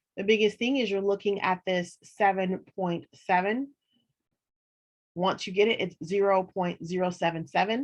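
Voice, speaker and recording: A woman's medium-pitched, fairly even delivery at a moderate pace, an ordinary speaking voice. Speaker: college instructor. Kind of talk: online lecture.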